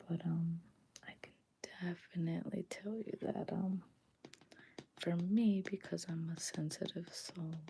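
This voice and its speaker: Soft-spoken, somewhat breathy whispering at a very slow pace. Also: woman. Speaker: ASMR content creator and podcaster. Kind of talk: casual talk to camera, reflective personal sharing. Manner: whispered and soft-spoken.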